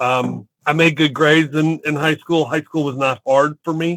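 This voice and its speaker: Recorded with a dry, close sound and no echo, a man speaks at a fairly high pitch with fairly even intonation. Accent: Southern US. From US South, Chattanooga, Tennessee. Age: 50s. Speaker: real estate entrepreneur. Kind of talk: interview.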